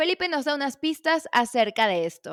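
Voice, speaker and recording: In a very clean recording with a silent background and a dry, close sound free of echo, a woman speaks at a fairly slow pace with lively intonation. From Venezuela. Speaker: podcast host, journalist. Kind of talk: casual interview; scripted podcast intro.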